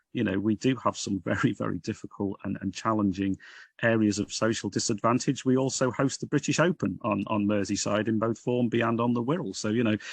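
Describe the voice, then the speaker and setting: The speaker goes at a fairly quick pace with a Liverpool accent. The sound is dry and close with no echo, over a quiet background. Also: man, fairly low pitch for a man, ordinary pitch variation. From northern England, Liverpool. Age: 60s. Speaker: Baptist minister. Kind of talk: podcast interview. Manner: hesitant, with repeated words.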